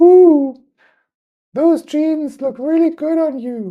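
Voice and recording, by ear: Someone uses a put-on character voice with a high pitch at a very slow pace. The background is quiet.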